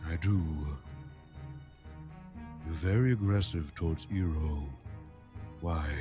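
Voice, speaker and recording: Clear music plays behind a man using a put-on character voice pitched very deep and low. He talks at a fairly slow pace with long, frequent pauses. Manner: blunt, questioning.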